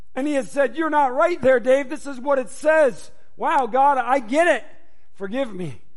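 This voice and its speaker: A man speaks loudly in an animated tone, his pitch extremely high. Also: ordinary pitch variation, moderate pace. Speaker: pastor. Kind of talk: sermon. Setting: church.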